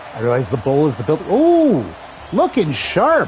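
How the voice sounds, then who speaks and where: Against crowd noise in the background, a man speaks at a fairly high pitch with very wide pitch swings. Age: 40s. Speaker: video game streamer. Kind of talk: live gameplay commentary. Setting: live stream. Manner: casual, conversational.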